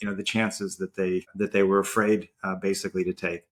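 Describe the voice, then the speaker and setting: Man talking at a fairly quick pace, with a dry, close sound and no echo. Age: 60s. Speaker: marathon runner and startup executive. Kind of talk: interview conversation. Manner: halting, repeats words.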